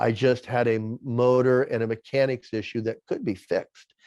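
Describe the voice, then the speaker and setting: Monotone and flat in intonation, a man speaks at a moderate pace in a dry, close sound with no echo. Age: 60s. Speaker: former bodybuilder and men's minister. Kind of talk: interview. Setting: podcast. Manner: halting.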